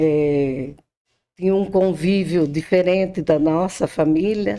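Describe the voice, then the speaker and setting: Very slow in pace, a woman speaks at a fairly low pitch with a dark, mellow tone and ordinary pitch variation. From Brazil, interior of São Paulo state. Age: 60s. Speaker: podcast guest. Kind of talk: interview, life story.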